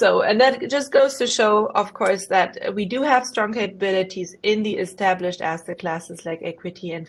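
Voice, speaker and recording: A woman speaks with a slight German accent at a medium pitch and a moderate pace. She uses hardly any pauses and ordinary pitch variation. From Germany. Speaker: investment professional. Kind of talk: career presentation. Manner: hesitant, many fillers.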